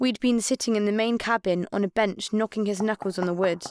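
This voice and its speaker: A woman with a plain, everyday voice, fairly high in pitch, at a moderate pace, on a very clean recording with a silent background. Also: dry, close sound with no echo. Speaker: narrator. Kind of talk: dramatic first-person storytelling narration, audiobook-style. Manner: vivid, expressive, suspenseful pacing; warm, wistful and adventurous.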